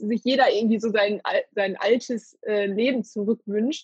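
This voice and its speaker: A woman speaks at a moderate pace, her voice somewhat breathy. Her pitch sits fairly high, with fairly even intonation. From Ruhr area, Germany (Hattingen). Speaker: podcast host. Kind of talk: interview. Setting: remote recording, alone in a room.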